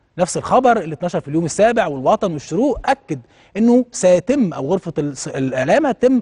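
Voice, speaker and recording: A man talks in an animated tone with a high pitch and very wide pitch swings. The background is quiet. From Egypt. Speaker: TV talk show host. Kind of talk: TV commentary monologue. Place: studio.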